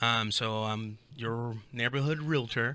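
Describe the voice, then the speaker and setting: This man has an American accent and a medium pitch. His tone is bright and sharp, on a very clean recording with a silent background. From Southern California (Imperial Valley). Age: 30s. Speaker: real estate agent. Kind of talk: casual interview chat.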